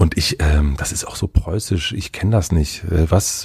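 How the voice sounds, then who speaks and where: With noticeable background noise around him, a man speaks in a calm tone with a very deep, low pitch at a fairly slow pace. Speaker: podcaster. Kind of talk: interview. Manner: hesitant.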